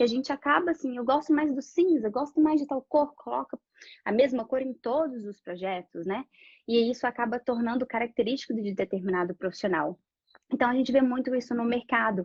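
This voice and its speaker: A woman speaks at a fairly quick pace in a high-pitched voice with ordinary pitch variation. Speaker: architect. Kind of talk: live-stream presentation. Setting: online live stream. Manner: fast.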